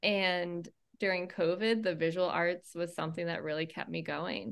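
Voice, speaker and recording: With an American accent and an unremarkable speaking voice, a woman talks at a fairly slow pace in a fairly low pitch with ordinary variation, recorded very cleanly against a silent background. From Maine, US. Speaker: performing arts company founder. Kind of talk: casual interview.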